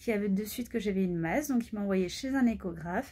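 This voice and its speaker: A somewhat breathy woman's voice at medium pitch, moderate pace and ordinary pitch variation. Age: 20s. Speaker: pediatric nurse and cancer patient vlogger. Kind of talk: personal vlog testimony. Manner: hesitant, many fillers.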